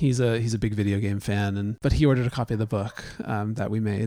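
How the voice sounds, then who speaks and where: A dark, mellow tone with fairly even intonation. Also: man. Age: 40s. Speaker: podcast co-host, husband. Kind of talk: casual conversation. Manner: joking, playful.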